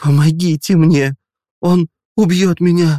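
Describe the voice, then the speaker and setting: A man does a put-on character voice that is high-pitched and shaky. He talks at a fairly slow pace with fairly even intonation, and the sound is dry and close with no echo. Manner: pleading, desperate.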